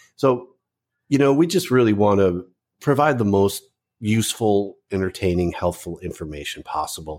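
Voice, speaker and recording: Here a man speaks with an American accent at a fairly low pitch. He keeps a moderate pace in a very clean recording with a silent background. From US Midwest, Chicago suburbs. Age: 50s. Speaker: pet website editor. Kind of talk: casual interview.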